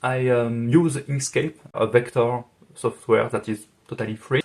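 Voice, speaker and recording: A man with a French accent at a very slow pace, his intonation fairly even. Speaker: music arranger and video creator. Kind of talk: FAQ video monologue. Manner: halting, many fillers.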